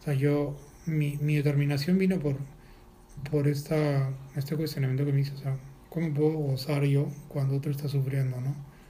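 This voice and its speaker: In a somewhat breathy, fairly high-pitched voice with a dark, mellow tone, a man speaks in a monotone, flat intonation at a moderate pace, with long, frequent pauses and audible room echo. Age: 40s. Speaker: animal rights activist. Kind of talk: casual interview. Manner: halting, repeats words.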